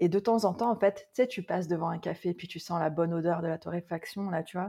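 A woman speaks at a medium pitch with a dark, mellow tone. Her pace is fairly quick. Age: 40s. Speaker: Ayurveda consultant. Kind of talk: casual interview.

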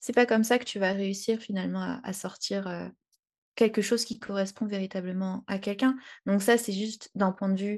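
A woman speaks in a medium pitch with a dark, mellow tone and a somewhat breathy quality. Her pace is moderate, her intonation fairly even, and the background quiet. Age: 20s. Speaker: freelance graphic designer. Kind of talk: casual interview chat. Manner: hesitant, many fillers.

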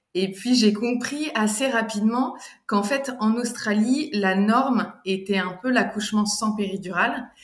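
A fairly high female voice at a fairly slow pace, with ordinary pitch variation and audible room echo. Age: 40s. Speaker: doula. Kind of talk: testimony. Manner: halting.

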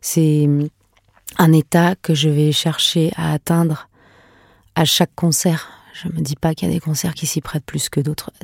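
A woman with a very deep, low pitch and a dark, mellow tone speaks in a monotone, flat intonation at a fairly slow pace, with a dry, close sound with no echo. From France and Venezuela. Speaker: singer and musician. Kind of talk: interview.

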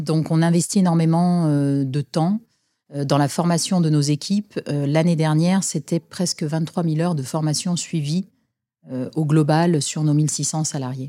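Very deep, low woman's voice, dark and mellow, with fairly even intonation, in a dry, close sound with no echo and a very clean recording on a silent background. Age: 40s. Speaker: marketing director. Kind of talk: interview.

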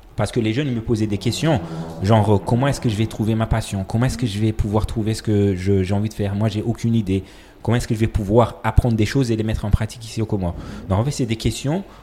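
Somewhat breathy, with a dark, mellow tone, a man speaks at a very fast pace with fairly even intonation. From Comoros. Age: 30s. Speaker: architect and education entrepreneur. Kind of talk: interview conversation. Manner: halting, many repetitions.

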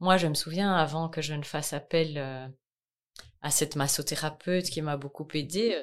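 The pace is fairly slow on a very clean recording with a silent background. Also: woman. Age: 40s. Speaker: massage therapist and charity founder. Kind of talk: testimony. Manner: hesitant, many fillers.

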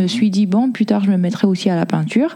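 A woman speaks at a medium pitch with fairly even intonation over noticeable background noise. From Congo, moved to France at 11. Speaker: artist and photo model. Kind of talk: interview. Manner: hesitant, many fillers.

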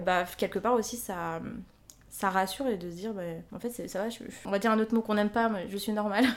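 Speaking at a very fast pace with long, frequent pauses, a woman uses a medium pitch and fairly even intonation on a very clean recording with a silent background. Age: 20s. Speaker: listener and amateur writer. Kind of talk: casual interview. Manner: hesitant, many fillers.

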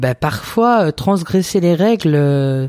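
Recorded very cleanly against a silent background, a man's dark, mellow voice sits at a fairly high pitch in a dry, close sound with no echo. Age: 30s. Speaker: podcast co-host. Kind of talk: casual chat.

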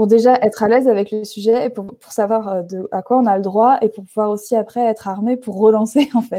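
A woman's fairly high voice with a dark, mellow tone, fairly even intonation, a fairly quick pace with hardly any pauses, and big swings in loudness. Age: 30s. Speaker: graphic designer and art director. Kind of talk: interview.

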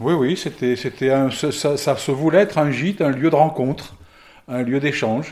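The man's pitch sits fairly high and varies in an ordinary way as he talks at a moderate pace. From France, Lyon. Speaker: gîte owner and therapist. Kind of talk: casual interview. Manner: halting.

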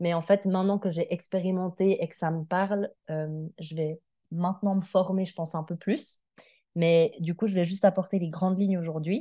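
Against a quiet background, a woman with a dark, mellow tone speaks at medium pitch and a moderate pace, her intonation fairly even. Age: 30s. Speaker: social worker sharing health testimony. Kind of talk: interview testimony.

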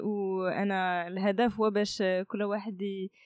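The speaker talks at a very slow pace. The background is quiet. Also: woman. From Morocco, Kenitra. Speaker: startup incubator director. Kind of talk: interview. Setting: in person.

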